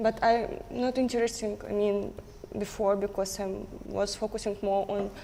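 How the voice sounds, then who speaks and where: Over noticeable background noise, a woman with a non-native accent speaks at a moderate pace and medium pitch in a monotone, flat delivery. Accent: non-native English, limited fluency. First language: Russian. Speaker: trading student on a reality show. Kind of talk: casual chat. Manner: halting.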